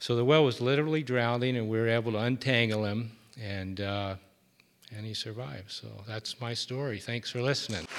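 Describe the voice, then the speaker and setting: In a very clean recording with a silent background, a man with a normal speaking voice talks at a fairly quick pace and medium pitch, with ordinary pitch variation. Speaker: storyteller, marine wildlife worker. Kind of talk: live storytelling. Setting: stage with audience.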